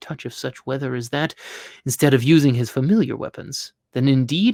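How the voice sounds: A natural reading voice with ordinary pitch variation and a quiet background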